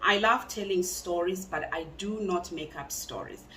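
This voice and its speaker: Noticeable background noise and audible room echo fill this recording. A woman talks at a medium pitch. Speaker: true crime youtuber. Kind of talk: true crime storytelling. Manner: loud.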